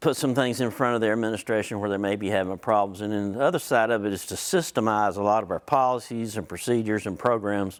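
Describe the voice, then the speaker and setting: A man with a Southern US accent, fairly low in pitch, talking at a fairly quick pace with ordinary pitch variation. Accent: Southern US (Georgia). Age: 60s. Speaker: hospital facilities consultant. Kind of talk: conference presentation. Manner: casual, folksy.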